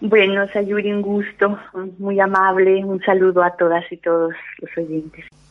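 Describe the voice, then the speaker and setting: Amid noticeable background noise, the speech comes at a fairly slow pace with monotone, flat intonation. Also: woman, medium pitch for a woman. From El Salvador. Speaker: psychologist and feminist educator. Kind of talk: radio interview.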